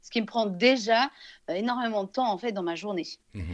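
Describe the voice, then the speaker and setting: Against a quiet background, a woman with a fairly high pitch uses a normal speaking voice at a fairly quick pace with ordinary pitch variation. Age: 30s. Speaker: Instagram influencer. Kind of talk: interview.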